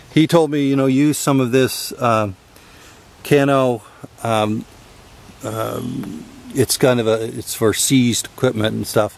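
The pitch moves in an ordinary way, and the sound is dry with no echo. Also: man. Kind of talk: tutorial. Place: open country. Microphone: phone near.

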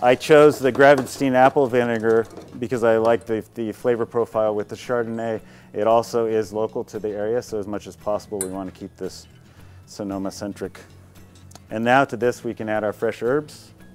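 Fairly quick speech with fairly even intonation over faint background music. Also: man. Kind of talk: tutorial. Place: garden.

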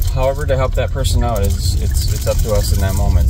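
A man speaks very fast with a dry sound and no echo, while clear music plays in the background. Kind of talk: casual vlog chat. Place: car. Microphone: phone near.

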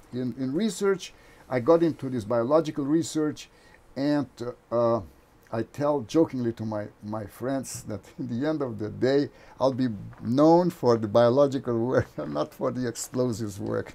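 With a Brazilian accent, a man speaks at a moderate pace in a dark, mellow tone with ordinary pitch variation. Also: medium pitch for a man. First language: Portuguese. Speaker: engineering professor and novelist. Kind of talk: interview conversation.

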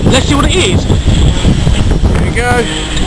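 A man speaks amid heavy background noise. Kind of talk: casual vlog chat. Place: station. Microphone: phone near.

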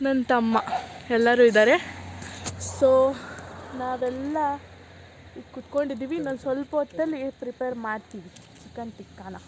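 A woman's high-pitched voice with big swings in loudness over noticeable background noise. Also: ordinary pitch variation. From Malnad region, Karnataka. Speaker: vlogger. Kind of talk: casual vlog chat. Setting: outdoors at night by a campfire.

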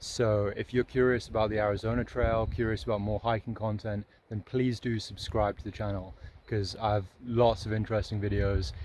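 In a plain, everyday voice, a man talks fairly quickly at a fairly low pitch with fairly even intonation, the sound dry with no echo over light background noise. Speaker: thru-hiker vlogger. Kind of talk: casual vlog chat. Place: open country. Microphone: phone near.

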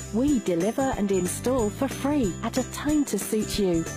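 A woman at medium pitch with lively intonation and a fairly slow pace, music in the background. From UK. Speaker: voice actor. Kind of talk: TV commercial read.

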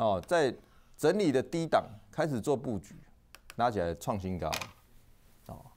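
An animated man talks at medium pitch with vocal fry and very wide pitch swings. His pace is fairly slow, with long, frequent pauses. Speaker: stock market analyst show host. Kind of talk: market commentary monologue. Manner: casual, filler-heavy (哦, 哈).

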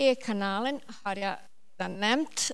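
A woman speaks very slowly with ordinary pitch variation. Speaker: government agency officer; presenter. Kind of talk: panel Q&A. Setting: stage with audience. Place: hall. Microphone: handheld.

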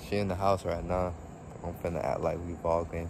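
Through noticeable background noise, a man with a very deep, low pitch talks at a fairly quick pace in a monotone, flat intonation. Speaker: vlogger. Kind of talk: casual vlog chat. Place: open country. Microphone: phone near.

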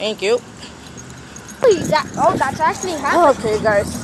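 The speech comes at a fairly slow pace, with a dry sound that has no echo and noticeable background noise. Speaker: vlogger walking with her child. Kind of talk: casual vlog chat. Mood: warm, complaining about heat. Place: street. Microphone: phone near.

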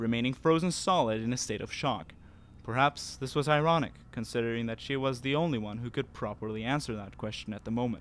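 His voice sits at a medium pitch with ordinary variation. The man speaks at a fairly quick pace. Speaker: fan fiction narrator. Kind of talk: horror audiobook reading. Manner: hushed, suspenseful narration with dramatic character voices.

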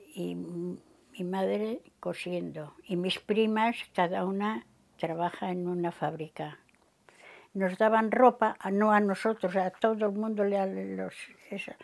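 A woman speaks very slowly at a medium pitch with fairly even intonation. The background is quiet. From Cantabria, Spain. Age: 80s+. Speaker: elderly interviewee recalling war exile; interviewee. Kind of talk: oral history interview. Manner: halting, with self-corrections. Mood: calm, reflective. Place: home room. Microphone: lapel.

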